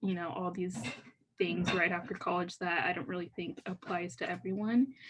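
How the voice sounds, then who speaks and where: A woman's voice comes through fairly low and somewhat breathy. It shows ordinary pitch variation. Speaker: university student, panelist. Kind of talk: panel discussion. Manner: fast; casual, filler-heavy.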